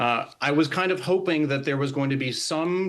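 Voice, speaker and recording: This man has a plain, everyday voice, fairly high in pitch with ordinary pitch variation. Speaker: army veteran and singer. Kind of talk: interview answer. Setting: TV remote interview.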